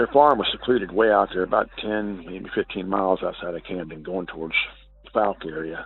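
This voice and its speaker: Noticeable background noise sits behind a man with a very deep, low pitch. He talks at a fairly quick pace in a Southern US accent. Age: 60s. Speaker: caller. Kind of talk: testimony. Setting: phone call. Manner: halting.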